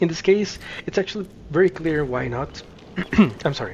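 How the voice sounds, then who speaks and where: Moderate pace over noticeable background noise. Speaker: gaming video creator. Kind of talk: gameplay commentary.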